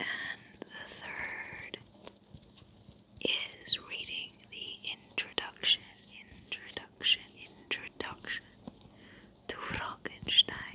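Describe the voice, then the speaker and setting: The speech is a whisper at a very slow pace, broken by long, frequent pauses. Underneath it there is noticeable background noise. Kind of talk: ASMR whispered talk to camera. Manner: whispered, soft-spoken.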